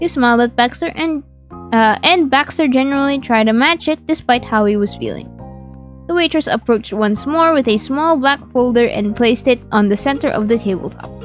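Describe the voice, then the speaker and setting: With music in the background, a woman speaks in a high voice at a fairly quick pace with ordinary pitch variation. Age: young.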